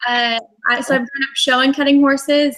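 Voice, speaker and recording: The speaker has a Texas accent. The tone is bright and sharp. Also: woman. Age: 20s. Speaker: cutting horse champion rider. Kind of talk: interview on live online show.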